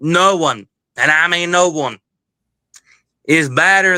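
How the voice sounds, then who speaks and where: Delivered in a Southern US accent at a very slow pace, the voice stays monotone and flat, with a bright, sharp tone and a dry, close sound with no echo. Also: man. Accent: Southern-sounding, like South Georgia. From southern Ohio. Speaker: caller. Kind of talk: heated debate.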